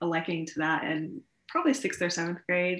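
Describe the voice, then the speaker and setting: A woman with a fairly low pitch and an American accent, on a very clean recording with a silent background. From US Midwest (Columbus, Ohio). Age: 20s. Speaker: college student and small business owner. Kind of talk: casual interview. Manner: hesitant, many fillers.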